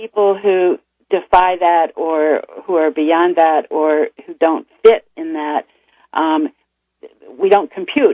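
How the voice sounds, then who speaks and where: This woman has a medium-pitched voice with ordinary pitch variation. It is a normal speaking voice. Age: 60s. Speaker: author and bisexual activist. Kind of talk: radio interview. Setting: radio studio.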